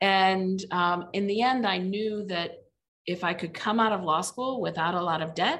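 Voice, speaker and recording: A woman talks in a US Midwestern accent. Her pitch is medium and her pace fairly slow. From Indiana (Mishawaka). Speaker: legal aid executive director. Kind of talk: casual interview.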